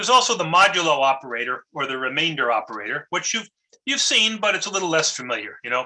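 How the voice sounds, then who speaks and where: Talking at a very fast pace, the man has a fairly high pitch and swings it very widely. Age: 50s. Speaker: university lecturer. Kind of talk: lecture. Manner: halting, many fillers and repeats.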